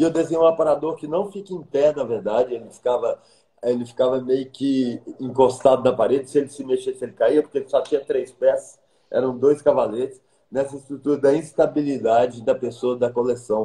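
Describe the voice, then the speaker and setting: The man's pitch is fairly high, and his tone is dark and mellow. He sounds somewhat breathy. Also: ordinary pitch variation, fairly quick pace. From Minas Gerais, Brazil (Pedro Leopoldo); Minas Gerais, Brazil. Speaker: architect; interviewee. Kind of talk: interview. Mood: warm, reflective. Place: home room. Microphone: video call.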